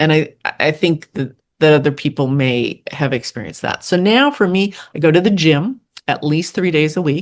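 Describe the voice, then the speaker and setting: A woman speaks at a moderate pace with a very deep, low pitch. The background is quiet. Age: 60s. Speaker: podcaster and social worker sharing personal story. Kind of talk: interview conversation. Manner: animated.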